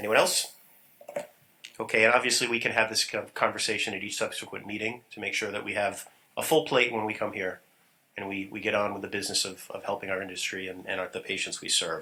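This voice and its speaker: A man with a fairly low pitch speaks at a very fast pace in a bright, sharp tone, his intonation fairly even while his loudness swings widely. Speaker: council chairman. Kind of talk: formal meeting chairing.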